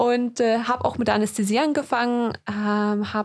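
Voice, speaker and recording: Using a plain, everyday voice, a woman speaks fairly high in pitch, her intonation fairly even. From Germany, then UK from childhood. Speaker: podcast co-host, doctor. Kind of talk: casual chat. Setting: studio.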